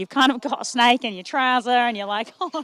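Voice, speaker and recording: Lively in intonation, the speech comes at a very fast pace with a dry, close sound and no echo. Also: woman. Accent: Australian. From Australia, Melbourne. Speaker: sports commentator. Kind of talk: live commentary. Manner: animated.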